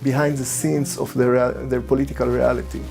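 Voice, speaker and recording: Over music in the background, a man with an Israeli accent speaks at a moderate pace. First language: Hebrew. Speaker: filmmaker and spiritual guide. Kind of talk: commentary talk to camera.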